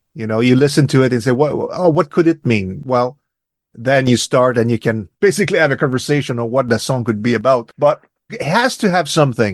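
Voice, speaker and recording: In a dry, close sound with no echo and a quiet background, a man at a medium pitch speaks with lively intonation. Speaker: musician. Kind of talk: interview. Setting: radio interview. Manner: halting.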